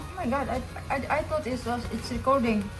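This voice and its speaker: A woman speaks at a moderate pace with a Filipino accent, her voice pitched high. Noticeable background noise and audible room echo fill the recording. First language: Filipino (Bisaya). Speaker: caregiver and cooking vlogger. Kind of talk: cooking tutorial vlog. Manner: halting, many fillers.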